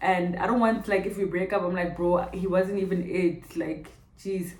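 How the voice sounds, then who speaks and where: A woman with a Botswana accent speaks at medium pitch and a moderate pace in an animated tone. Noticeable background noise and audible room echo fill the recording. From South Africa, Pretoria. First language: Setswana. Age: 20s. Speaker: vlogger. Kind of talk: casual Q&A vlog.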